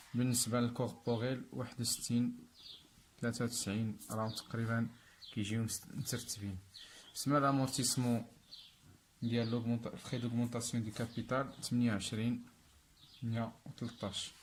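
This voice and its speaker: A somewhat breathy man with a Moroccan accent, medium pitch, monotone, flat intonation and a moderate pace. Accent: Moroccan Darija with French terms. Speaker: accounting teacher. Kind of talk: tutorial.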